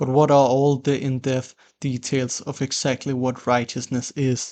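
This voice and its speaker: A man talks at a fairly slow pace in a medium pitch. His delivery is monotone, with flat intonation. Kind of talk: philosophical explainer narration. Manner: dry.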